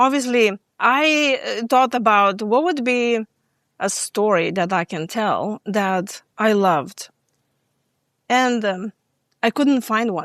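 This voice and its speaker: On a very clean recording with a silent background and a dry, close sound with no echo, a woman with a slight Lithuanian accent speaks in a fairly high pitch at a very slow pace, with long, frequent pauses. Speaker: stress management coach. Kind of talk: podcast interview. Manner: hesitant, many fillers.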